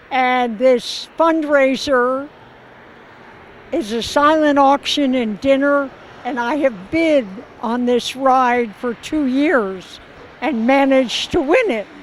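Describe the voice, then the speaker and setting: Against noticeable background noise, the speaker goes at a very slow pace with ordinary pitch variation. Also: woman, high pitch for a woman. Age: 80s+. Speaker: charity ride participant. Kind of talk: interview.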